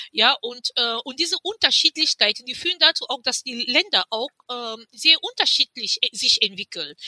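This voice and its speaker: A woman speaks in a raised, projected voice at a high pitch, with a bright, sharp tone and very wide pitch swings. Her pace is moderate with hardly any pauses, and the sound is dry and close, with no echo. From Cameroon. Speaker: activist and publisher. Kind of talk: interview.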